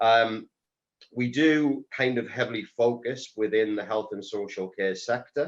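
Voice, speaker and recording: In a North East England accent, a man speaks at a fairly slow pace and a medium pitch, with ordinary pitch variation. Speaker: telecoms reseller businessman. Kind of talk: panel discussion. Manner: hesitant, many ums.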